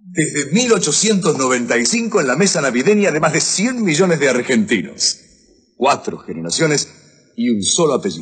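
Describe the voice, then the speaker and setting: Against a quiet background, a man speaks at a fairly high pitch with very wide pitch swings. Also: moderate pace. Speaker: commercial presenter. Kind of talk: TV commercial read. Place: studio.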